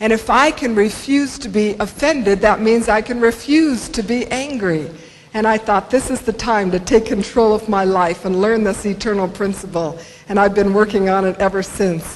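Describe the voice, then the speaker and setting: Over noticeable background noise, a woman with an American accent speaks at a moderate pace in a fairly high voice with ordinary pitch variation. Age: 60s. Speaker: motivational speaker. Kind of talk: keynote speech. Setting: stage with audience.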